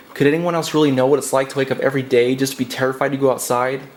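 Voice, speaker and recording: A man rattles along at a very fast pace, his pitch fairly high, with noticeable background noise behind him. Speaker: poet. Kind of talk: spoken word poetry.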